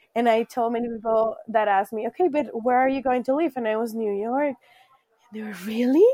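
A woman's fairly quick, fairly high-pitched speech in a Spanish accent, with a dark, mellow tone, ordinary pitch variation and a dry, close sound with no echo. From Colombia. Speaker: high school teacher, former au pair. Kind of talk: interview, casual conversation. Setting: video call, remote.

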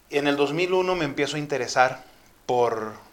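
The room echo is audible as a man speaks very slowly. His pitch moves in an ordinary way. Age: 40s. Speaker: motivational speaker. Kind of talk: testimony.

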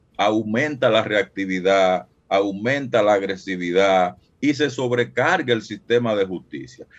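The speaker uses a normal speaking voice with ordinary pitch variation at a fairly slow pace. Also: man. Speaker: violence expert and researcher. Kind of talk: phone interview. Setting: phone call.

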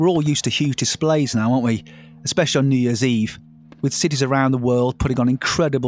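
A man with a British accent talks at a fairly quick pace in a medium pitch, with music playing in the background. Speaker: podcast host. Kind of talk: interview.

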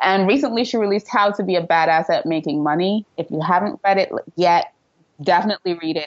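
A woman speaks with a slight Trinidadian accent. Her pace is very fast, with ordinary pitch variation. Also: medium pitch for a woman. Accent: light Trinidadian. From Trinidad and Tobago. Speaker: PR and social media entrepreneur. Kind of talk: interview.

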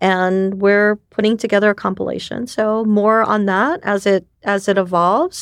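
A woman with a Japanese accent talks at a moderate pace and medium pitch, with fairly even intonation and very even loudness, in a dry, close sound with no echo. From New York City. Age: 50s. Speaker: ecosystem builder and community director. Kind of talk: casual interview chat.

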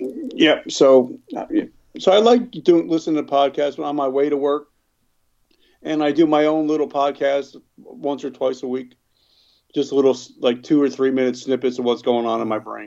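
Long, frequent pauses from a man with a New Jersey accent, a fairly high pitch and a dark, mellow tone. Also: ordinary pitch variation, moderate pace. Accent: New Jersey American. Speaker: recovered addict and business owner. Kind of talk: interview, personal testimony. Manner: halting, many fillers.

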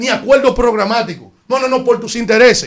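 At a moderate pace, a man with a Dominican accent talks at an extremely high pitch with fairly even intonation. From Dominican Republic. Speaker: radio co-host. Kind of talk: casual chat.

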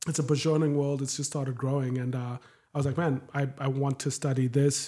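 The voice has a dark, mellow tone and is somewhat breathy. Delivery is monotone and flat at a fairly quick pace. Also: man. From Zimbabwe, Harare. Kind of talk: casual chat.

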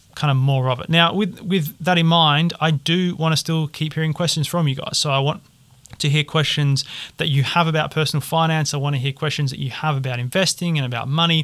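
Someone with a British accent speaks at a fairly quick pace with fairly even intonation in a very clean recording with a silent background. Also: man. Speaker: personal finance podcast host. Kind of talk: solo podcast monologue.

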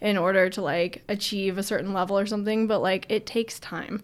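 A woman has a normal speaking voice at a medium pitch with fairly even intonation. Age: 20s. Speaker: professional parkour athlete. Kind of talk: casual interview chat.

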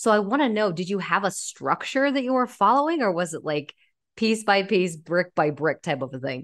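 Very wide pitch swings mark this moderately paced voice, heard against a quiet background. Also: woman, medium pitch for a woman. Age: 30s. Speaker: podcast host. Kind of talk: casual interview chat.

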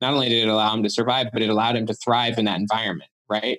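The speaker is a man. His accent is American. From Utah, US. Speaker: author and psychologist. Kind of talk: interview.

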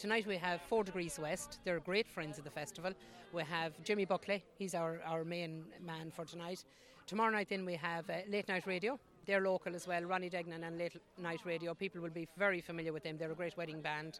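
Speaking with an Irish accent, a woman with a fairly low voice talks at a fairly quick pace with fairly even intonation. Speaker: festival volunteer. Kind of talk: casual interview chat. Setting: outdoors at festival.

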